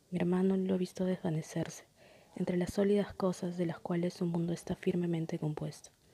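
A woman's somewhat breathy, dark, mellow voice at a fairly low pitch, with monotone, flat intonation and very even loudness. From Peru, Lima. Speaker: poet. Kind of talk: poetry reading.

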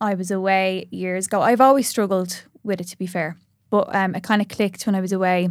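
A woman with an Irish accent speaks at a fairly quick pace and a medium pitch, with fairly even intonation. Her loudness swings widely in a very clean recording with a silent background. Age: 30s. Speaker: social media influencer. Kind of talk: casual chat.

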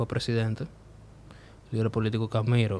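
The speaker is a man. He talks at a medium pitch. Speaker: podcast host and comedian. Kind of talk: casual chat.

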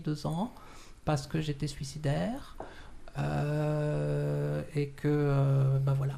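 Audible room echo surrounds a woman speaking. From France. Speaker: shibari instructor. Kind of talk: interview. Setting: studio.

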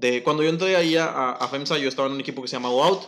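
Very fast in pace, a man talks while his pitch varies in an ordinary way. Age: 20s. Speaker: industrial engineer. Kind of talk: casual chat.

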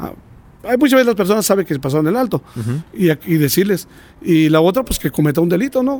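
A man speaks at a very fast pace in a high pitch with a dark, mellow tone. His pitch swings very widely. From Mexico, San Luis Potosí. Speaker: police officer. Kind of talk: interview.

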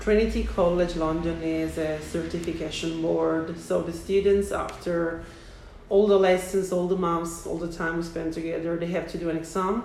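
The delivery is monotone, with flat intonation at a moderate pace. Noticeable background noise is present. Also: woman, fairly low pitch for a woman. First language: Italian. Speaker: English teacher. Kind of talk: interview conversation.

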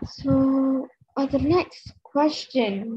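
A woman with a Malaysian accent speaks at a very slow pace, her pitch high with ordinary pitch variation. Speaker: podcast host. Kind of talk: casual interview chat.

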